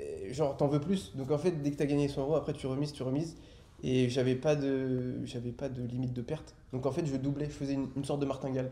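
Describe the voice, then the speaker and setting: A man with a fairly high pitch at a very fast pace, his intonation monotone and flat. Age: 20s. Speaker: trader. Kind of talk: podcast interview, personal testimony. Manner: halting, many filler hesitations.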